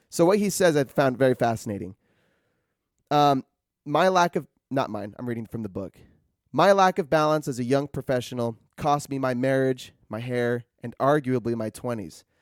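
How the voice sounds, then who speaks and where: In a dry, close sound with no echo, a man with an unremarkable speaking voice talks at a medium pitch and moderate pace. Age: 20s. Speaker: podcast host. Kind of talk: casual book discussion monologue. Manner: loose and conversational.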